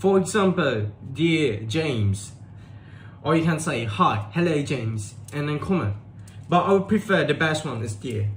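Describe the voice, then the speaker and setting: Heard with audible room echo, a man talks at a fairly slow pace in a fairly high voice with very wide pitch swings. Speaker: tutor. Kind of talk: tutorial. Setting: live stream.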